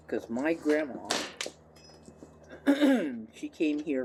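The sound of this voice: Lively intonation marks a woman's voice, which has a slightly husky edge and a slightly mellow tone.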